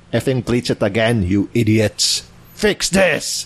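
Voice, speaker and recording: A man with a medium pitch puts on a character voice. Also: fairly slow pace. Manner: angry, demanding.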